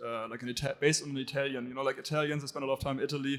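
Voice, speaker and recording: With a German accent, a man speaks at a medium pitch in a monotone, flat delivery. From Germany. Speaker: startup founder, panelist. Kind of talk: panel discussion.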